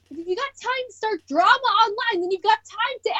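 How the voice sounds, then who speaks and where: Lively intonation marks speech delivered at a moderate pace. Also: woman. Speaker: cosplayer podcast co-host. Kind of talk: casual chat. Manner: loud; animated.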